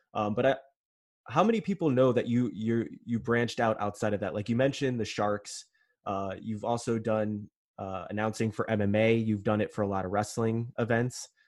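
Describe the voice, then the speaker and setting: Delivered at a moderate pace, a man's unremarkable speaking voice sits at medium pitch with fairly even intonation. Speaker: podcast host. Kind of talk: casual interview chat.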